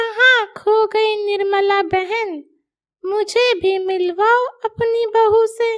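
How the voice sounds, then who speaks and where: A woman's cartoonish character voice, extremely high in pitch, at a very slow pace, with fairly even intonation and very even loudness. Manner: chatty, prying.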